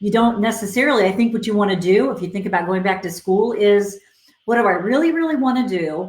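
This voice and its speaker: Somewhat breathy medium pitch from a woman, with audible room echo. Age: 60s. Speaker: career coach. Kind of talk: live Q&A advice session. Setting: Facebook Live stream. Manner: conversational, filler-heavy.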